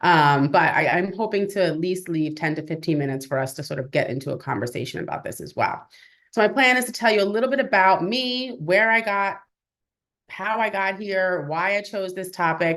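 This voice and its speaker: A woman speaks at medium pitch with an animated tone and a fairly quick pace. The background is quiet. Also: lively intonation. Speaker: birth professional and researcher. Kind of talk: webinar presentation. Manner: fast.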